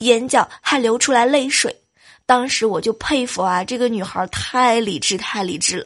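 Against a quiet background, the speech moves fairly slowly. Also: woman. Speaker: podcast host. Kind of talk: comedic monologue. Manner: animated; laughing often.

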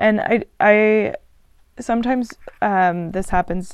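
A woman speaks with a Texan accent and lively intonation. The background is quiet. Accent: Texan American English. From Texas. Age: 20s. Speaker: travel podcaster. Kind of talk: casual solo podcast monologue. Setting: travelling, recording abroad in France. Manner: frequent fillers and hesitations.

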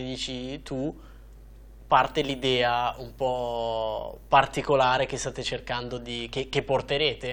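A man speaking at a very slow pace. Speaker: cycling YouTuber and podcast host. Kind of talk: interview. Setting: studio. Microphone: studio quality audio.

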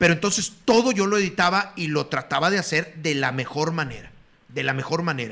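Using lively intonation, a man with a Mexican accent and a high pitch talks at a fairly quick pace. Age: 50s. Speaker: retired sports broadcaster. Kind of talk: casual chat.

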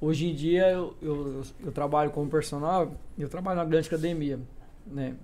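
With fairly even intonation and a dark, mellow tone, a man speaks at a moderate pace and a fairly high pitch. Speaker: personal trainer.

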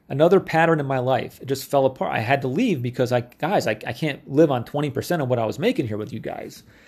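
A man with an American accent talks at a very fast pace. His pitch is fairly high with ordinary variation, and the recording is very clean with a silent background. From upstate New York. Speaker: podcast host, marketing coach. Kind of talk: solo monologue, personal storytelling.

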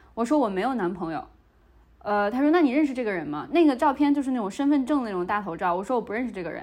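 A woman's high voice at a very fast pace, with very wide pitch swings. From Hebei, China. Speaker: podcast co-host. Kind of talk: casual chat. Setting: video call.

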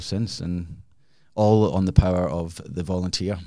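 A man's very deep, low voice with a dark, mellow tone at a moderate pace. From Scotland, Glasgow. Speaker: charity founder and engineer. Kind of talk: interview conversation.

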